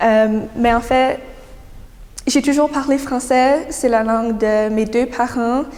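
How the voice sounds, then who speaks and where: Intonation stays fairly even at a very slow pace. Noticeable background noise sits behind the speech. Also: woman. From New Brunswick, Canada. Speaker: young writer, prize winner. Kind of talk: interview answers. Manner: hesitant, many fillers.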